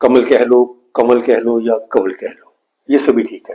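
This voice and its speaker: A man speaks with a Punjabi accent. His pace is moderate. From Punjab, India (Bathinda area). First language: Punjabi (speaking Hindi). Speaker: music teacher. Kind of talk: tutorial.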